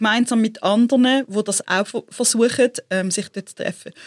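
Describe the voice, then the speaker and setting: Recorded very cleanly with a silent background and a dry, close sound with no echo, an ordinary speaking voice moves at a moderate pace with fairly even intonation. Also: woman. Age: 40s. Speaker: entrepreneur and creative consultant. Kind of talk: interview conversation.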